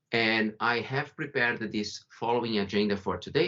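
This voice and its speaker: A man's fairly low voice with a Brazilian accent. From Brazil, São Paulo. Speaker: company founder and CEO. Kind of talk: webinar presentation.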